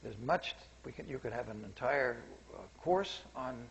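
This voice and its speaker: With audible room echo, a man with an American accent talks at a moderate pace and medium pitch, his voice somewhat breathy. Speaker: seminar speaker, scientist. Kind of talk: public lecture. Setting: seminar room with audience. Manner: quiet, soft-spoken; halting, self-correcting.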